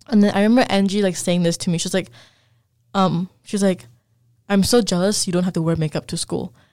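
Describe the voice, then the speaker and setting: Speaking at a very fast pace yet with long, frequent pauses, a woman uses a medium pitch, a dark, mellow tone and fairly even intonation. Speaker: podcast co-host. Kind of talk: casual chat.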